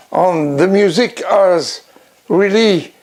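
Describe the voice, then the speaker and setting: With a French accent, a man speaks at a very slow pace in a high pitch. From France. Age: 90s. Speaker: blues collector and promoter. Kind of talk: acceptance speech. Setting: home record room. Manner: halting.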